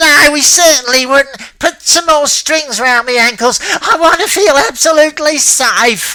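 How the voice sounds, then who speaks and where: At a moderate pace with hardly any pauses, the speaker puts on a character voice. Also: man, extremely high pitch for a man. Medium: read story. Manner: coarse, colloquial.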